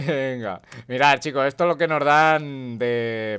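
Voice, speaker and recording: On a very clean recording with a silent background, a man speaks at a fairly slow pace and medium pitch, with ordinary pitch variation. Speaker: gaming youtuber. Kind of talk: casual gameplay commentary. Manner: animated.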